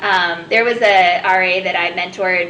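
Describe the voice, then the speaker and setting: With audible room echo and noticeable background noise, a woman speaks in a fairly even intonation. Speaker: youth apprenticeship coordinator. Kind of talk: interview. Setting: live recording at a community college in Asheville. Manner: loud; direct.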